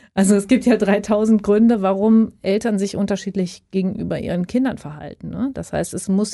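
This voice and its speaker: Over a quiet background, a woman speaks at a medium pitch with ordinary pitch variation and a dark, mellow tone. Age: old. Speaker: podcast host. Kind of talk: casual interview.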